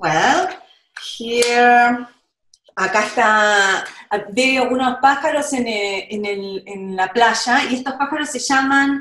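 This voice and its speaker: Audible room echo surrounds a woman's fairly high voice, whose intonation is lively over a quiet background. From Argentina. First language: Spanish. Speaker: children's book illustrator. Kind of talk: storytelling summary in Spanish for children. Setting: video call. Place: home room. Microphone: video call.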